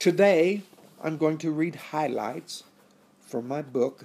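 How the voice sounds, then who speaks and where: A man with a Western US accent speaks at a fairly slow pace with fairly even intonation. The recording is very clean, with a silent background. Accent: American Western. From Colorado, US. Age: 70s. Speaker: author. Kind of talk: reading aloud; speech.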